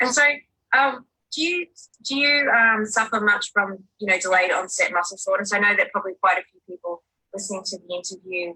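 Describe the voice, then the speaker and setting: A woman talks fairly quickly with lively intonation, a bright, sharp tone and big swings in loudness. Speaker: interviewer. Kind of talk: interview questions.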